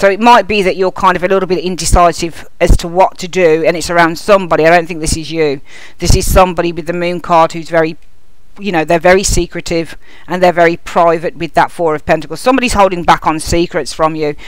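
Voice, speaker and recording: Amid noticeable background noise, a woman with a Birmingham accent talks very fast in a fairly low voice with fairly even intonation. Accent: Birmingham (Brummie) English. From Birmingham, England. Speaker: tarot reader. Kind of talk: tarot reading video.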